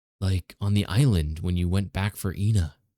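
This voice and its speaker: A man's put-on character voice, very deep and low, at a moderate pace in a very clean recording with a silent background. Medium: read story. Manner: casual slangy.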